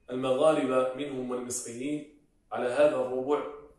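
Audible room echo follows a man's voice over a quiet background. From Morocco. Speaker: Quran reciter. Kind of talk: interview answer.

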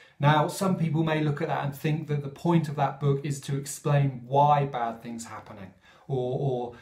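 A man speaks with fairly even intonation over audible room echo. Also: quiet background. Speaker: speaker. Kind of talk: sermon-style reflection. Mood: calm, earnest. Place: home room. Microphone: phone near.

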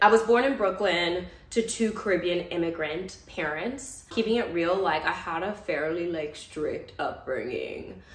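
Audible room echo surrounds a woman talking at a moderate pace with ordinary pitch variation. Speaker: vlogger. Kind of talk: casual vlog chat. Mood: warm, cheerful, cozy. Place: home room. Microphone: camera far.

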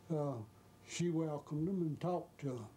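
In a Georgia accent, a man speaks with a dark, mellow tone, a fairly high pitch and fairly even intonation. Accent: rural Southern US (Georgia). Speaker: former chauffeur. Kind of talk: interview reminiscence.

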